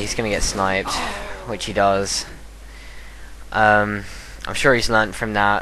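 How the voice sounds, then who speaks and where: Audible room echo surrounds a man's voice, along with noticeable background noise. He talks at a moderate pace. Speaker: gaming commentator. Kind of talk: gameplay commentary. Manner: casual, hesitant with fillers.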